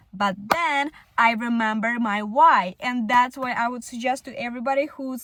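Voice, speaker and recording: At a moderate pace, a woman with a non-native accent talks in a high voice with ordinary pitch variation. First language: not English. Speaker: content creator. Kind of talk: casual vlog monologue. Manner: halting, many fillers.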